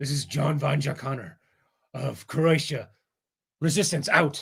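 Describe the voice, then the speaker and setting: A man's gravelly, put-on character voice, fairly high in pitch, with a dramatic tone at a moderate pace. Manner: gruff, dramatic.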